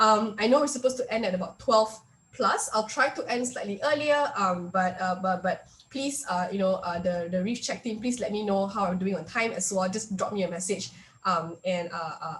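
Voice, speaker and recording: Speaking at a fairly quick pace, a woman uses ordinary pitch variation against noticeable background noise. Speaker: workshop speaker. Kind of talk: online workshop presentation. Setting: video call. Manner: fast; hesitant, many fillers.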